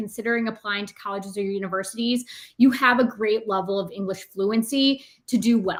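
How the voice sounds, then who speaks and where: A woman speaks with an American accent at a fairly high pitch. Her pace is fairly quick. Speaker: test company representative. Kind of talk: webinar Q&A answer. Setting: online webinar. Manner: fast.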